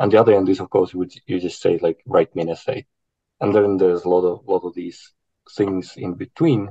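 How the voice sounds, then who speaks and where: A man talks at a fairly quick pace. The sound is dry and close with no echo, over a quiet background. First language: not English. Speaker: university academic, panelist. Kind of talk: online panel discussion. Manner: hesitant, many fillers.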